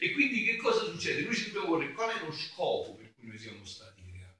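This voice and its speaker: A man speaks with very wide pitch swings. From southern Italy, Campania (Avellino province). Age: 50s. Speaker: friar, preacher. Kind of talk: sermon. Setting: church during mass.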